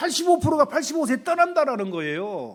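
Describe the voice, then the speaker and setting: Recorded very cleanly against a silent background, a man talks at a moderate pace with very wide pitch swings. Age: 60s. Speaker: pastor. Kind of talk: sermon.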